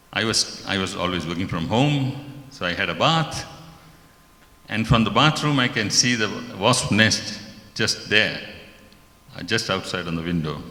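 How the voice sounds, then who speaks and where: At a moderate pace, a man with a fairly low pitch and lively intonation speaks with long, frequent pauses amid noticeable background noise and audible room echo. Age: 70s. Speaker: devotee sharing an experience. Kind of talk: testimony.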